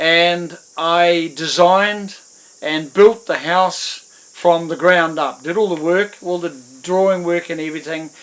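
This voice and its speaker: A man with a New Zealand accent and a high pitch speaks at a very slow pace, his intonation fairly even. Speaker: musician. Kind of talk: interview monologue. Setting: at home in front of guitars. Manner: hesitant, many fillers.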